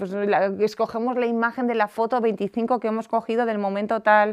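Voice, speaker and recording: A woman speaks in a plain, everyday voice, fairly high-pitched with fairly even intonation, the sound dry and close with no echo against a quiet background. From Basque Country, San Sebastián. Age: 30s. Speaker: life coach and entrepreneur. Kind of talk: podcast interview.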